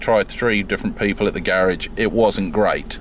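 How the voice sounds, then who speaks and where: A man talks with fairly even intonation while noticeable background noise runs underneath. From UK. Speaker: car owner vlogger. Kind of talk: casual car walkaround review. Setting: in and around a parked car. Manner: halting, many fillers.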